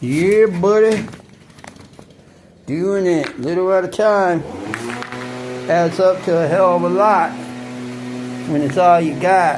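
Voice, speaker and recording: Music plays in the background as a man with a high pitch and ordinary pitch variation speaks very slowly. He takes long, frequent pauses, and room echo is audible. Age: 50s. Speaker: off-grid vlogger. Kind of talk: casual vlog narration while working. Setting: outdoors. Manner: casual, conversational.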